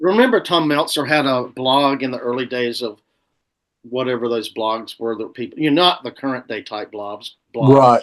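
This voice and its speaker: A man with a Southern US accent at a moderate pace. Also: medium pitch for a man, ordinary pitch variation. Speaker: musician. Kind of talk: casual chat.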